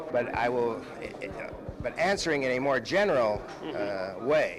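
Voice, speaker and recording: A man's medium-pitched voice, fairly slow and with lively intonation, over noticeable background noise. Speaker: defense attorney. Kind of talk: press interview answer. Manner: hesitant, halting.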